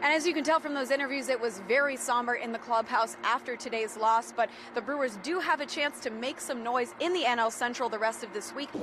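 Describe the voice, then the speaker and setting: A woman with an American accent speaks at a high pitch with ordinary variation. She barely pauses, and background noise is noticeable. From Tampa, Florida. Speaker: sports reporter. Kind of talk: sports news report.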